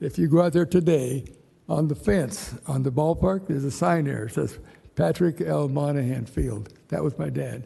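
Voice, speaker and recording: Here a man speaks with a fairly high pitch and lively intonation. His tone is dark and mellow, and somewhat breathy. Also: moderate pace. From Ventura, California. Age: 80s+. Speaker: public commenter, local business owner. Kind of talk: public comment at city council meeting. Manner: halting.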